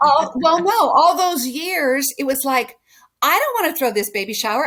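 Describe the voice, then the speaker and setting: An American woman speaks with an American accent in a high pitch, her bright, sharp tone moving through very wide pitch swings. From California. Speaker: podcast guest. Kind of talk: casual chat.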